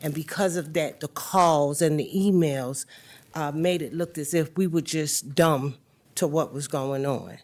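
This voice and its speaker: A woman with a Southern US accent speaks at a fairly slow pace. Her pitch is very deep and low, and her intonation fairly even. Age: 60s. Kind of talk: board meeting questioning.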